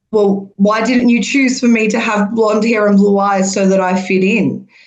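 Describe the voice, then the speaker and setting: A woman with a fairly high pitch speaks at a very slow pace with fairly even intonation. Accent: strong Australian. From Melbourne, Australia (came from Iran at age two). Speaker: podcast panel guest. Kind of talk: podcast discussion.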